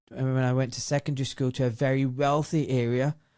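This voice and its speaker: Dark and mellow, a man's voice holds a moderate pace. His intonation is monotone and flat, on a very clean recording with a silent background. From Scotland, Glasgow (Govan, south side). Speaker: doctor. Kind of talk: interview. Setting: studio.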